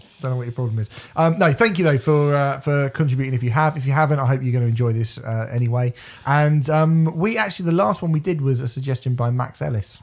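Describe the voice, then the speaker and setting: A medium-pitched man in a British accent, at a moderate pace with ordinary pitch variation. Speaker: podcast co-host. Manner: casual, jokey.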